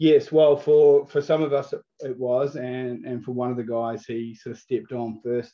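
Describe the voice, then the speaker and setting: Delivered at a moderate pace, a man's fairly even intonation comes with big swings in loudness. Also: medium pitch for a man, hardly any pauses. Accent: New Zealand. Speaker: food business owner. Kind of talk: interview. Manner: hesitant, many fillers and repeats.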